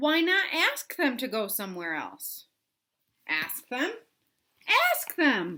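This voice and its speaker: A woman uses a put-on character voice, raised and projected, high in pitch with very wide swings. She goes at a fairly slow pace with long, frequent pauses. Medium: read story. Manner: calm, chipper.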